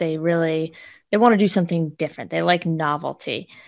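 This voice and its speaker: A quiet background frames this woman's fairly low pitch. She has an ordinary speaking voice and fairly even intonation. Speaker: podcast co-host, fitness trainer. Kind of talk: casual podcast chat, season wrap-up.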